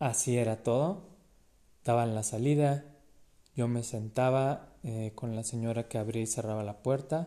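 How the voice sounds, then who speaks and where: This man has a dark, mellow tone and talks at a fairly slow pace. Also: medium pitch for a man, ordinary pitch variation. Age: 30s. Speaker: person with epilepsy sharing experiences. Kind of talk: personal testimony.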